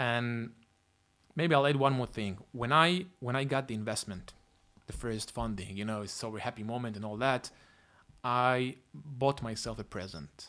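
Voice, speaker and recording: A man with an Israeli accent talks at a medium pitch and a moderate pace, his tone bright and sharp and his pitch variation ordinary. His loudness swings widely, and he leaves long, frequent pauses. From Israel, Tel Aviv. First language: Hebrew. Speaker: tech company founder and CEO. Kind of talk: interview.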